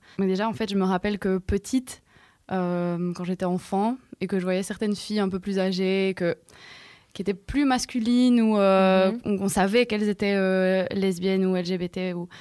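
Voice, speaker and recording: A woman's medium-pitched voice with a dark, mellow tone, fairly even intonation and a moderate pace, in a very clean recording with a silent background. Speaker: DJ and activist. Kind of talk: casual round-table chat.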